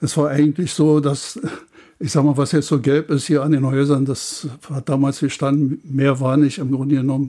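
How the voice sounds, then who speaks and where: A man's fairly high-pitched voice, dark and mellow in tone, monotone and flat, on a very clean recording with a silent background. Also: moderate pace. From Bernau, Brandenburg. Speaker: retiree and contemporary witness. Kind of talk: reminiscing interview. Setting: archive room on location. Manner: halting.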